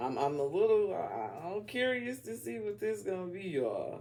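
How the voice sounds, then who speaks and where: This man talks at a fairly slow pace with a slight Southern US accent. His tone is animated, and his pitch swings very widely. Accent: slight Southern country accent coming out. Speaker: tarot reader. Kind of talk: tarot reading. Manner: casual, animated.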